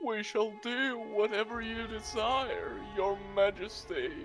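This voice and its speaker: With clear music in the background, a man does a put-on character voice at a high pitch. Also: fairly slow pace. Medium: audio drama. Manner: flat, resigned.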